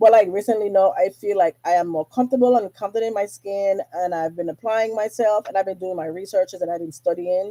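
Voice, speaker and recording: With an American accent, the speaker talks very fast. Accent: Virgin Islands accent, switches in and out. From US Virgin Islands, St. Thomas. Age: 40s. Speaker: podcast host. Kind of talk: casual monologue. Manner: casual, chatty.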